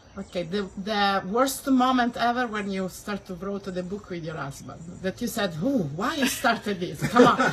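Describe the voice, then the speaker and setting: A woman with an Italian accent, lively intonation, big swings in loudness and hardly any pauses, over noticeable background noise. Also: medium pitch for a woman, moderate pace. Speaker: interviewer. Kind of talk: interview.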